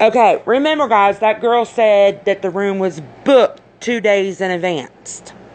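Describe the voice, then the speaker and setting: Noticeable background noise surrounds a woman talking at a fairly slow pace in a fairly high pitch. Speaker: YouTuber commenting on a crime case. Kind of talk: casual commentary vlog. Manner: speech disorder, stumbles over words; animated, emphatic.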